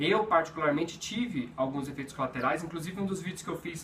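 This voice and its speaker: Noticeable background noise sits behind this recording. A man talks at a very fast pace in a high pitch. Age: 30s. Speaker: video blogger living with HIV. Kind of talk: personal vlog talk to camera. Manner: halting, with repetitions.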